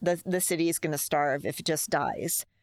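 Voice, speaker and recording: A woman with a very deep, low voice and an American accent talks at a moderate pace with fairly even intonation. The recording is very clean and dry, close with no echo, over a silent background. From Bronx, New York. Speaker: newspaper interviewer. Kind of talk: interview.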